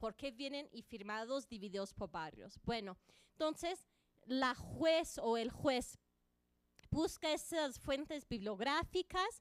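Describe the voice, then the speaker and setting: A woman speaks with a high pitch. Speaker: conference panelist. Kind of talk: panel presentation.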